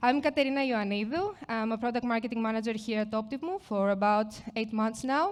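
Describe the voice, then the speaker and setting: A woman's fairly high voice in a Greek accent, fairly quick with hardly any pauses and ordinary pitch variation. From Greece. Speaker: product marketing manager. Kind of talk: conference presentation. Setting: stage with audience.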